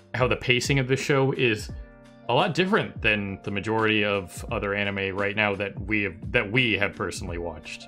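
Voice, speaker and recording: Over faint background music, a man talks at a fairly quick pace with a fairly low pitch and ordinary pitch variation. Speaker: anime discussion host. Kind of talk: casual discussion commentary. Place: home room. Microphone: headset.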